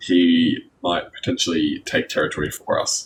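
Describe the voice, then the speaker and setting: A man speaks with an Australian accent. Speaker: gaming youtuber. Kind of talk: let's play commentary. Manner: halting, stumbling over words.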